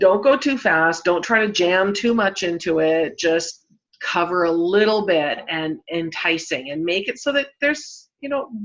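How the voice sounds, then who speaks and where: A woman speaks at a fairly slow pace with hardly any pauses. Her medium-pitched voice carries lively intonation. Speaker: Facebook marketing trainer. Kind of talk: live-stream tutorial. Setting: Facebook live broadcast.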